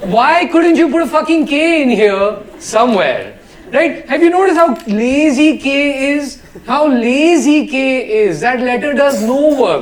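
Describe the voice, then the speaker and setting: A man's extremely high-pitched, animated voice at a fairly slow pace, with ordinary pitch variation, noticeable background noise and audible room echo. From India, South Delhi. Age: 30s. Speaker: stand-up comedian. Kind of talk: stand-up. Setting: stage with audience.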